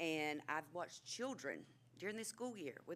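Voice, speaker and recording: This woman's pitch is very deep and low, with very wide swings. She speaks at a moderate pace. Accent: North Carolina. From North Carolina, Asheboro area. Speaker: administrative assistant speaking at public comment. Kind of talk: public comment at council meeting. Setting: city council chamber.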